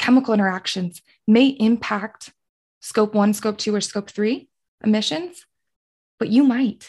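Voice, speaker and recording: A woman with an American accent speaks in a somewhat breathy, fairly high voice. Her pitch variation is ordinary, over a quiet background. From Colorado. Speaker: sustainability specialist and former podcast co-host. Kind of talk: casual interview.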